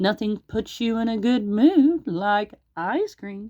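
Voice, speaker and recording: A female-sounding, put-on character voice speaks at a fairly slow pace with a fairly high pitch. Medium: read story.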